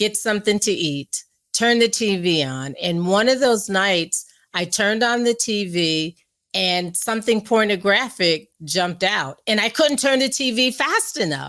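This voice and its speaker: A woman with an American accent and a plain, everyday voice at medium pitch, fairly slow pace and lively intonation, in a very clean recording with a silent background. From US Northeast, New York area. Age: 60s. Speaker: guest speaker on abstinence and faith. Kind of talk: interview testimony.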